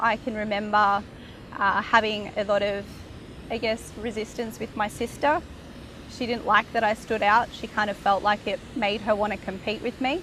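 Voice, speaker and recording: A woman with an Australian accent talks at a fairly slow pace. Her voice sits fairly high, and her intonation stays fairly even. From Australia, Brisbane. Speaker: interviewee sharing spiritual journey. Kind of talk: personal testimony.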